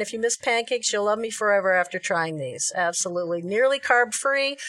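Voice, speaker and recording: A woman's normal speaking voice, fairly high in pitch, at a fairly quick pace with ordinary pitch variation. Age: 50s. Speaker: Facebook group admin and keto advocate. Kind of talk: recipe tutorial; casual chat.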